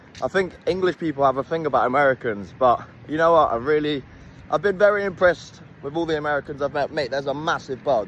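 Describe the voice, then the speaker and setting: The man here talks at a very fast pace. His pitch is fairly high. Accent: British. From Britain. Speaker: travel vlogger. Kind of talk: casual vlog. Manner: animated.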